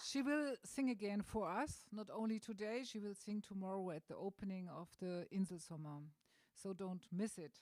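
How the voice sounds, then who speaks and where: With a German accent, a woman speaks at a moderate pace and medium pitch, with ordinary pitch variation. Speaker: event organizer and host. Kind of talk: welcome speech at art opening. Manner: halting.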